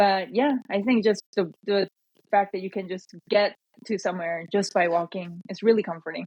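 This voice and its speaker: A woman speaks with a Korean accent. Her intonation is fairly even. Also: medium pitch for a woman, moderate pace. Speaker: trail organization representative. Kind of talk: podcast interview.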